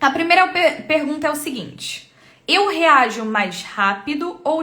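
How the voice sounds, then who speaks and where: A woman speaks in a raised, projected voice at a fairly slow pace. Her pitch swings very widely. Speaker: temperament coach and live streamer. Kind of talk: live stream teaching. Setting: live stream.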